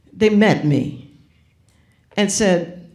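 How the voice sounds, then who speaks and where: A woman is speaking. Her voice echoes audibly off the room. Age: 70s. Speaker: graphic designer and author. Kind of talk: onstage conversation. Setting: auditorium with audience. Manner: animated.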